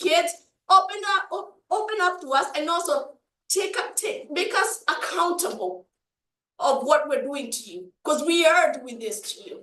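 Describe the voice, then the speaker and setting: Using a raised, projected voice, a woman with an African accent speaks at a moderate pace with an extremely high pitch, lively intonation and big swings in loudness. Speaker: community panelist, parent. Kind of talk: panel discussion. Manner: animated.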